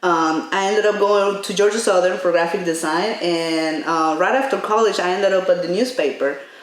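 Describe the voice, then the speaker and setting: A woman of medium pitch talks at a fairly quick pace with hardly any pauses and ordinary pitch variation, amid noticeable background noise and audible room echo. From Mexico. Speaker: graphic designer. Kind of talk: casual chat.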